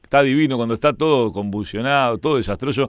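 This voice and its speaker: With a Uruguayan accent, a man talks at a very fast pace in an animated tone, on a very clean recording with a silent background. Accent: Rioplatense Spanish (Uruguayan). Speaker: sports radio host. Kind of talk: casual chat.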